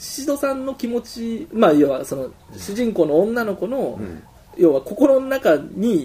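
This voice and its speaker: Over noticeable background noise, a man speaks in an animated tone at a high pitch and a fairly slow pace. His loudness shifts a lot and his pitch swings very widely. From Osaka, Japan. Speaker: musician discussing new album. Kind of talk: casual chat. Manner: animated, frequent laughter.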